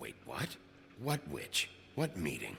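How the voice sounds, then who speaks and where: A man performs a put-on character voice at a medium pitch. Background noise is clearly audible. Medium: video game. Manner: curt, gruff.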